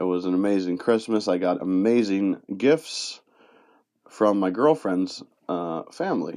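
In a western New York accent, the voice has a dark, mellow tone and ordinary pitch variation at a fairly slow pace. The background is quiet. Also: man, fairly low pitch for a man. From Rochester, New York area (western New York). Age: 30s. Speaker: podcast host. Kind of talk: personal monologue. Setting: home recording in a closet. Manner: halting.

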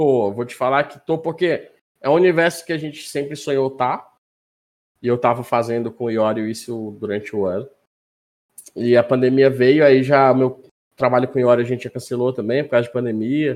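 An ordinary speaking voice from a man, medium in pitch, with ordinary pitch variation and a moderate pace. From Manaus, northern Brazil. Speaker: sim racing driver and streamer. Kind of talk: casual chat.

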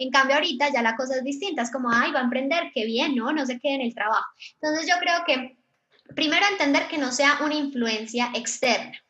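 A woman's raised, projected voice, high in pitch, with ordinary pitch variation at a fairly quick pace. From Colombia. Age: 20s. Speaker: digital marketing agency founder. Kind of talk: live online panel talk. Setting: live virtual event.

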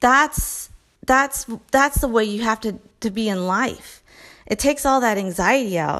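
A woman's fairly high voice with ordinary pitch variation, a fairly slow pace and music in the background. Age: 40s. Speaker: podcast host and fitness trainer. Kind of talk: casual solo monologue. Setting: at home. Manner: energetic.

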